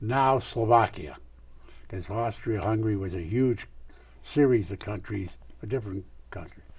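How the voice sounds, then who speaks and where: A man with a fairly low pitch talks at a moderate pace with ordinary pitch variation, a somewhat breathy quality, big swings in loudness, and long, frequent pauses. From US Northeast (Scranton, Pennsylvania). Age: 90s. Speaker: retired lawyer and real estate developer. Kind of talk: oral history interview. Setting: television studio.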